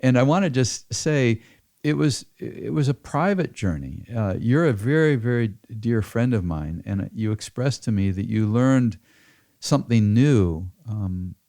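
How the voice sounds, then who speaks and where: With an American accent, the speaker moves at a fairly slow pace through very wide pitch swings on a very clean recording with a silent background. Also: man, medium pitch for a man. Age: 70s. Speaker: farmer. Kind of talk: interview. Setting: home office.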